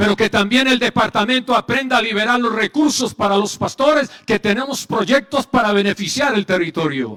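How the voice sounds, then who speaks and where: A man with a high pitch and ordinary pitch variation speaks at a moderate pace with hardly any pauses and very even loudness, in dry, close sound with no echo. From Colombia, Medellín. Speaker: pastor and psychologist. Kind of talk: conference speech.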